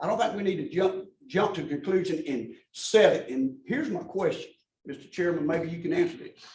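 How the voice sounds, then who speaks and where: A man with an Alabama accent talks at a fairly quick pace in a high voice, his intonation lively and his loudness swinging widely. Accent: Southern US (Alabama). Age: 70s. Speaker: public commenter. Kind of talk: public comment at government meeting.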